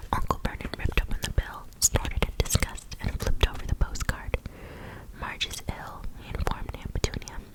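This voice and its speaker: A woman whispering at a moderate pace with big swings in loudness and noticeable background noise. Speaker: ASMR content creator. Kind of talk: whispered book reading for ASMR. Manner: whispered, up close.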